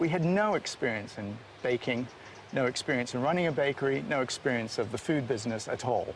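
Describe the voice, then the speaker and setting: A man talks at a medium pitch and a fairly quick pace. His intonation is lively. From Canada, Toronto. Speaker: baker, trained architect. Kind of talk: casual interview and demonstration.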